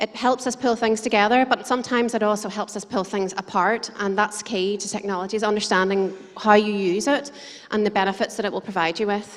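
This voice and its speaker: Speaking with an Irish accent at a fairly quick pace, a woman with a medium pitch keeps her intonation fairly even over noticeable background noise. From Ireland. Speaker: conference speaker, digital marketer. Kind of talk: conference presentation. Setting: stage with audience. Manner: fast.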